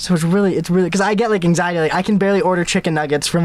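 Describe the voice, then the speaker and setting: A very fast-talking man, high in pitch, with normal rises and falls. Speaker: podcast co-host. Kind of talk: casual chat. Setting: outdoors on a beach at night. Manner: stumbling, mumbling, stutters.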